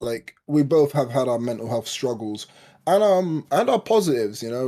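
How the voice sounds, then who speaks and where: A man with a London accent talks at a fairly quick pace in a dark, mellow tone with lively intonation. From East London, Hackney. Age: 20s. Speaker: podcast co-host, spoken word poet. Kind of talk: casual chat.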